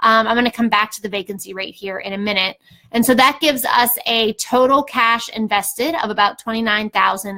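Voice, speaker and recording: Bright and sharp in tone, a woman's voice sits fairly high in pitch. She talks at a moderate pace with ordinary pitch variation. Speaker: real estate investor and educator. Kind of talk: tutorial. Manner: casual, filler-heavy.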